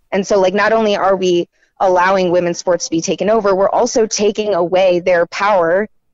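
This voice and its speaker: Here is a plain, everyday voice from a woman with an American accent at a medium pitch. She moves at a fairly quick pace with fairly even intonation. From North Carolina, Raleigh. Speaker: writer and independent journalist. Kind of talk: interview.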